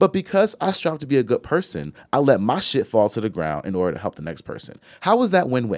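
A man speaks at a very fast pace with hardly any pauses, vocal fry, and a medium pitch. His voice makes very wide pitch swings and big swings in loudness in a dry, close sound with no echo. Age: 40s. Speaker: podcast co-host. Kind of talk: casual chat.

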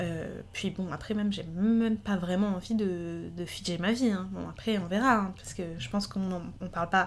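An ordinary speaking voice from a woman, medium in pitch, at a moderate pace with hardly any pauses and fairly even intonation. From France. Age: 20s. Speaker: illustrator. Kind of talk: casual chat.

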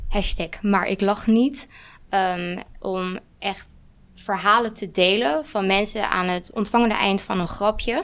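A woman speaks at a very slow pace with a medium pitch. Her pitch varies in an ordinary way. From Netherlands. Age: 20s. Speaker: student and activist. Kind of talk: panel discussion.

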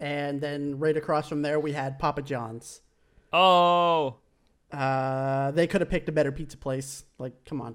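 Recorded very cleanly against a silent background, a man with an unremarkable speaking voice talks with fairly even intonation at a fairly high pitch. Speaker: gaming YouTuber podcast co-host. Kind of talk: casual chat.

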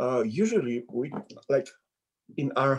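A man with a Polish accent speaks at a fairly high pitch and a fairly slow pace. His voice is somewhat breathy, with very wide pitch swings. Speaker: visiting preacher. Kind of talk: sermon. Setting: video call. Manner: halting.

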